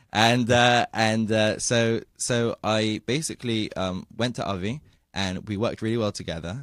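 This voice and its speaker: A man with a British accent speaks at a fairly low pitch, his pitch varying in an ordinary way. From England, London. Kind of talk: radio interview. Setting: radio studio.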